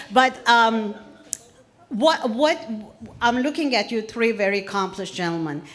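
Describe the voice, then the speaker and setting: The speech has lively intonation at a moderate pace, broken by long, frequent pauses, with noticeable background noise behind it. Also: woman, fairly high pitch for a woman. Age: 60s. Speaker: audience member asking a question. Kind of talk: audience Q&A. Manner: halting.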